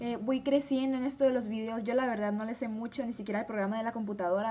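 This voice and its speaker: Her voice is fairly high-pitched with a dark, mellow tone, and this woman uses ordinary pitch variation. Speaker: beauty vlogger. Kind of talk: unscripted vlog monologue. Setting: at home. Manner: fast; hesitant, many fillers. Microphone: webcam.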